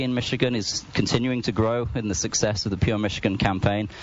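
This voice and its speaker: A man with a slight English accent speaks at a fairly low pitch with fairly even intonation, over noticeable background noise. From England. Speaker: university department chair. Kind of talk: interview.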